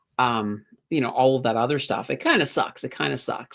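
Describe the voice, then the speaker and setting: The speaker talks at a moderate pace with a Maritime Canadian accent. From Nova Scotia, Canada (Halifax). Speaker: finance YouTuber. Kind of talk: livestream chat reading viewer questions. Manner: casual, filler-heavy.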